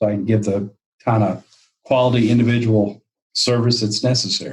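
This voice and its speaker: A somewhat breathy man's voice in a Texan accent at a moderate pace. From Texas, Fort Worth. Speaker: financial planner. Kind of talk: interview.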